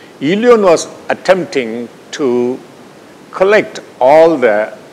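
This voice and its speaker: A man talks with lively intonation and a Tamil accent. Noticeable background noise runs behind him. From India, Tamil Nadu. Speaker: scientist presenting research. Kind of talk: lecture.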